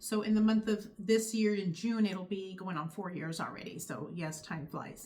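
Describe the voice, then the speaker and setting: Speaking with an American accent, a woman keeps a medium pitch and ordinary pitch variation. Her pace is moderate, with hardly any pauses. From California. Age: 50s. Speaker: YouTuber sharing faith testimony. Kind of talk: testimony. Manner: casual, conversational.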